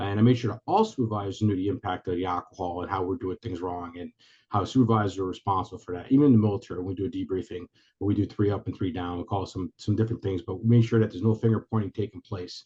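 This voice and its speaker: A man speaks at a very fast pace, somewhat breathy. His intonation is fairly even. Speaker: retired police commander, military veteran. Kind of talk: webinar presentation. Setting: video call. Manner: halting.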